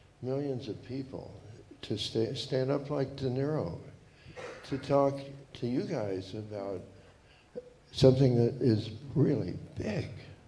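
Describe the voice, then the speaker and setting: A man talks at a fairly slow pace with medium pitch and ordinary pitch variation, taking long, frequent pauses. Room echo is audible. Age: 80s+. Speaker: audience member. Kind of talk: audience question. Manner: halting.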